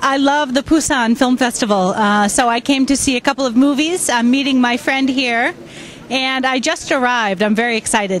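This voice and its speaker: Over light background noise, a woman with a high voice speaks with ordinary pitch variation and very even loudness in a dry sound with no echo. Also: moderate pace. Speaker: teacher. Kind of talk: interview answer. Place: street. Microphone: handheld.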